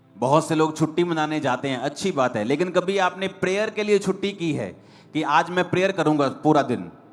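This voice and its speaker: This is a plain, everyday voice. A man with a fairly high pitch talks at a moderate pace with ordinary pitch variation. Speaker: pastor, church preacher. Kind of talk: church sermon.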